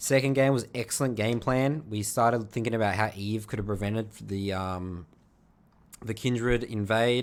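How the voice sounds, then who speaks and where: In an Australian accent, a man talks at a moderate pace with medium pitch and fairly even intonation, on a very clean recording with a silent background. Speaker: video game coach. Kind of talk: gameplay review commentary. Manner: casual, with frequent fillers.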